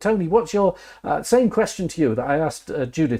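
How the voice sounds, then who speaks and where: A man's somewhat breathy voice, dark and mellow in tone, with lively intonation on a very clean recording against a silent background. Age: 60s. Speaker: podcast host. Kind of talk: panel discussion. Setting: studio. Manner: halting.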